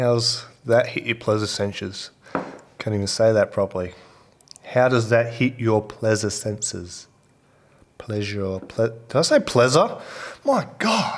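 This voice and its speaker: Speaking with an Australian accent, a man goes at a fairly slow pace with long, frequent pauses, medium pitch and ordinary pitch variation. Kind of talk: casual talk during recording session. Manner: joking, self-deprecating.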